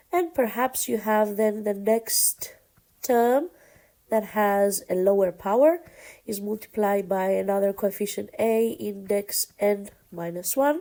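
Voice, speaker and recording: Her voice medium in pitch with a dark, mellow tone, a woman speaks at a fairly slow pace with ordinary pitch variation. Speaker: math teacher. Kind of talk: lecture.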